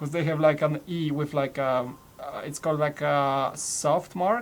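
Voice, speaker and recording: Speaking with a Polish accent, a man uses a fairly high pitch, fairly even intonation and a fairly slow pace. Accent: Polish accent, noticeable. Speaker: toy building live streamer. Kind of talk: casual chat.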